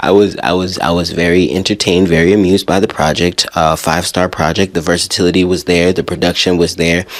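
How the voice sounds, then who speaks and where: Very deep and low, a man's voice rushes at a very fast pace with hardly any pauses and very even loudness. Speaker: music podcast host. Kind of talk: casual music review. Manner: animated.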